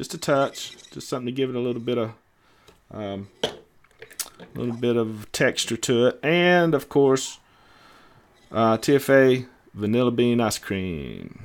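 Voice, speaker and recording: A man talks with a Southern US accent at a fairly slow pace. His pitch variation is ordinary. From US South. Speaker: DIY e-liquid mixer, show co-host. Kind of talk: casual livestream chat while mixing. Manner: halting, many fillers.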